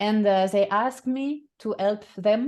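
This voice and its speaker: A woman's fairly high, dark, mellow voice with a strong French accent, very slow pace and ordinary pitch variation, over a quiet background. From France. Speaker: voice and communication coach. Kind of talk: interview. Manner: halting, many fillers and repetitions.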